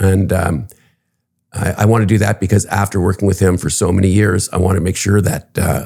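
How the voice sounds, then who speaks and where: A man with a Canadian accent speaks at a fairly quick pace in a very deep, low pitch and a dark, mellow tone. His intonation is monotone and flat, and his loudness stays very even. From Canada, Toronto. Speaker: real estate executive. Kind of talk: interview. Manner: hesitant, many fillers.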